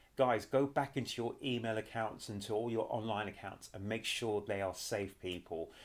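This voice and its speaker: A man with a British accent speaks at a moderate pace, using medium pitch and fairly even intonation. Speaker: YouTube commentator. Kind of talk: casual vlog commentary.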